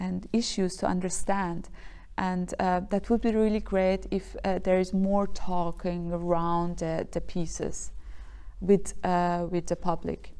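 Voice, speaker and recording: Very slowly and in a monotone, flat intonation, a woman with a Persian accent speaks at a medium pitch in a dark, mellow tone. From Iran. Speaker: dancer and choreographer. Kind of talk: interview. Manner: halting, many fillers.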